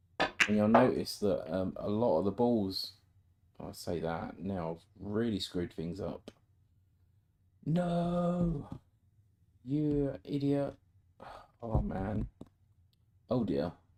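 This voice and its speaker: The man's medium pitch moves through very wide swings as he speaks. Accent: British. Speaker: amateur snooker player streaming his practice. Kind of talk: casual live-stream commentary while playing. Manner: chatty, thinking aloud with frequent ums.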